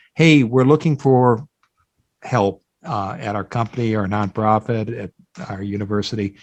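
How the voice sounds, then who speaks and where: A man speaks at a moderate pace in a medium pitch with ordinary pitch variation, with a Midwestern American accent against a quiet background. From US Midwest, Iowa. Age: 60s. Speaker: job board founder and career expert. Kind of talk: podcast interview.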